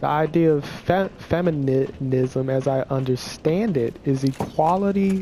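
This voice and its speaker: A man with a fairly high pitch speaks at a very slow pace with ordinary pitch variation. Noticeable background noise can be heard. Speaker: gaming video creator. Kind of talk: opinion monologue. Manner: halting, repeats words; casual.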